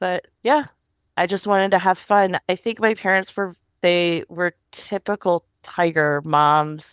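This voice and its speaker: In a normal speaking voice, a woman talks at a fairly low pitch, recorded dry and close with no echo, very clean, with a silent background. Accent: American. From US, Northern Virginia. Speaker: tech policy professional. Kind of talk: interview. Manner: casual, conversational.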